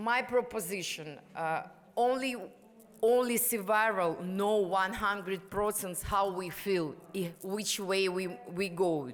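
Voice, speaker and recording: Speaking at a very slow pace with a non-native accent, a woman has a medium pitch and ordinary pitch variation, with audible room echo and noticeable background noise. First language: Ukrainian or Russian. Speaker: activist and prostitution survivor. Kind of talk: conference panel speech. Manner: halting.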